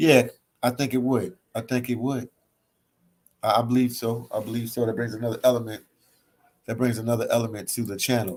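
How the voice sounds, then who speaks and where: With an American accent, a man of medium pitch talks in a flat, monotone way, leaving long and frequent pauses. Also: fairly quick pace. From Philadelphia, US East Coast. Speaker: travel vlogger. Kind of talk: livestream chat reading comments. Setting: hostel library, livestream. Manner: casual, relaxed.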